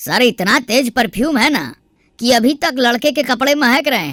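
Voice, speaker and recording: A woman does a cartoonish character voice, pitched high and delivered at a moderate pace. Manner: deferential.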